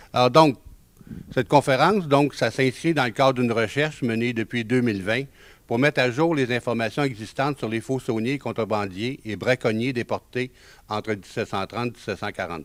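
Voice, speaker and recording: Speech comes in a Quebec accent at a moderate pace. The pitch varies in an ordinary way. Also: man, medium pitch for a man. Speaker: genealogy author and lecturer. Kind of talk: lecture. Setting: conference room with audience. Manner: hesitant, many filler sounds.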